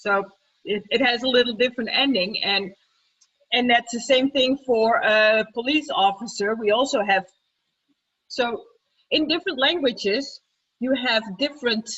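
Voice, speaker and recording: The speaker talks at a fairly slow pace with a Dutch accent. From Netherlands. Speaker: teacher. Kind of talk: group discussion.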